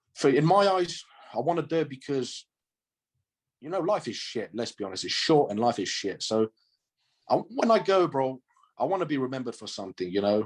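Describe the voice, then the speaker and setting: An animated man with a fairly high pitch, fairly quick pace, very wide pitch swings and long, frequent pauses, in a quiet background. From Romania, moved to UK at about nine or ten. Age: 20s. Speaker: strongman athlete. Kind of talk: interview.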